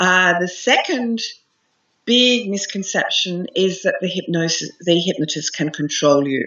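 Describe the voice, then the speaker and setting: An enthusiastic tone with lively intonation, in an Australian accent, at a fairly slow pace. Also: woman, medium pitch for a woman. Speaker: hypnotherapist and meditation teacher. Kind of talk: interview answer.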